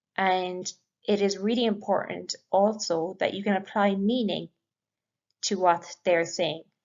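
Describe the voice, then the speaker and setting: The speaker has an Irish accent and talks at a fairly slow pace with fairly even intonation. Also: woman, medium pitch for a woman. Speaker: English language teacher. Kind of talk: lecture.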